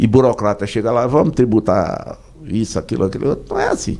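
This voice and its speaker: This man's voice has a dark, mellow tone with vocal fry. He speaks at a moderate pace. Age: 60s. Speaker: business association president. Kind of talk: radio interview.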